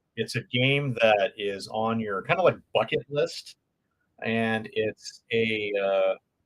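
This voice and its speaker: A man with a Californian accent at a very slow pace, in a dry, close sound with no echo. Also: medium pitch for a man, ordinary pitch variation. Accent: California. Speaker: board game channel host. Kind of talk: live stream Q&A chat. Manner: many filler words (um, uh).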